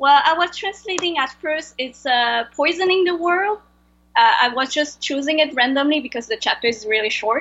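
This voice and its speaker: A woman with a strong French accent and a high pitch speaks at a moderate pace with lively intonation. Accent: heavy French-accented English. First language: Vietnamese. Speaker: translator. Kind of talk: interview. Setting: video call. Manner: halting.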